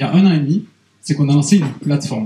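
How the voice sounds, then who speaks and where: With a dark, mellow tone, a man speaks at a fairly quick pace with ordinary pitch variation. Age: 30s. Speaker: product marketing director. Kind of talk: conference talk. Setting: stage with audience. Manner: hesitant, many fillers.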